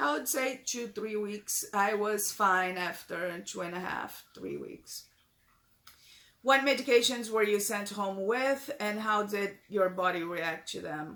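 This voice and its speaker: Her pitch is medium for a woman. She talks at a very slow pace. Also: ordinary pitch variation. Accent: Brazilian Portuguese. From Brazil. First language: Portuguese. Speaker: vlogger, breast cancer patient. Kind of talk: casual Q&A vlog. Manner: halting, many fillers and repeats.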